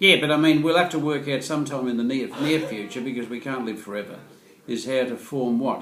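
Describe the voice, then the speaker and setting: A man with an Australian accent talks at a fairly quick pace. His pitch is medium, with ordinary variation. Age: 70s. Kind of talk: interview answer. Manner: quick-witted, jokey.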